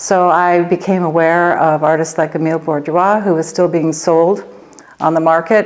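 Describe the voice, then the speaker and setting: Her intonation fairly even, a woman with a fairly low pitch talks at a moderate pace. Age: 60s. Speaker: artist. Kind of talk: documentary interview monologue. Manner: reflective, with frequent hesitations.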